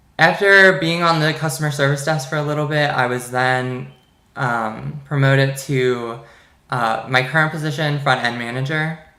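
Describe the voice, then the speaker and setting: A man with an American accent has a bright, sharp tone and fairly even intonation, with audible echo in the room. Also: fairly high pitch for a man, moderate pace. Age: 20s. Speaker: business student. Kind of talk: class presentation monologue. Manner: casual with hesitations.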